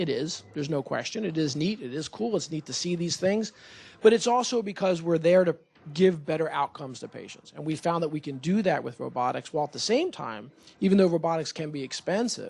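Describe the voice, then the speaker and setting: Over a quiet background, a man speaks loudly at a high pitch, moving at a fairly quick pace with lively intonation. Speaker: surgeon, urology division chief. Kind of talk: presentation to community board. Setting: meeting room with audience and microphone.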